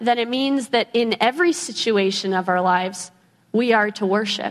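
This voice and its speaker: A woman's fairly high-pitched, normal speaking voice at a moderate pace, with lively intonation. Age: 20s. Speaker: lay preacher. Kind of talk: sermon.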